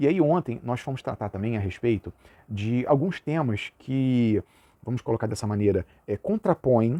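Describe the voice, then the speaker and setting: With a dark, mellow tone and lively intonation, a man speaks at medium pitch and a moderate pace in a dry, close sound with no echo. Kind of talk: lecture. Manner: casual, uses filler words.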